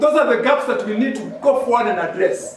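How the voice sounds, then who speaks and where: A man speaks loudly at an extremely high pitch. The room echo is audible, and background noise is noticeable. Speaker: medical professional speaker. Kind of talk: public speech. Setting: hall with audience, PA system.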